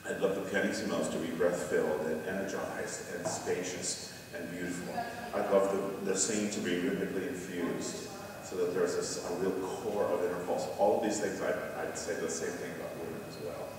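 A man talks at a fairly quick pace amid noticeable background noise and strong room echo. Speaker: presenter. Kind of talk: lecture. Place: church.

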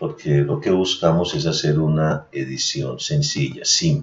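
Very wide pitch swings in a man's fairly slow speech. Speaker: voice-over narrator of a university tutorial. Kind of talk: software tutorial narration. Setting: screen recording voice-over.

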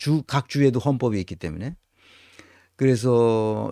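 The tone is dark and mellow, with ordinary pitch variation. The sound is dry with no echo, over a quiet background. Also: man. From South Korea. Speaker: lecturer on politics and organizations; lecturer on politics. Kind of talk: recorded lecture. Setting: recorded lecture video, not live. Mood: indignant, blunt. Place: home room.

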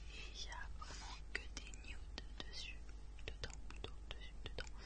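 A woman speaks at a very slow pace. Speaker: ASMR creator. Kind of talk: ASMR makeup collection presentation. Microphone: studio mic.

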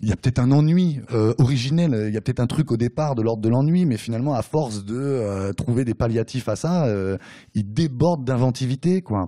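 A man at a fairly quick pace, dark and mellow in tone, over a quiet background. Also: ordinary pitch variation. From France, Nemours area (Seine-et-Marne); France. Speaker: novelist. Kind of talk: author talk at bookshop. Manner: hesitant, many fillers. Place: shop.

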